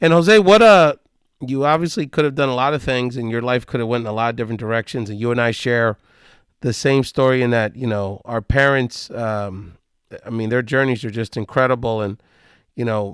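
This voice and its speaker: Against a very clean recording with a silent background, a man speaks in an unremarkable speaking voice. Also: medium pitch for a man, ordinary pitch variation, fairly quick pace. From US mainland, Puerto Rican family. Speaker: podcast host. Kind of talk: interview.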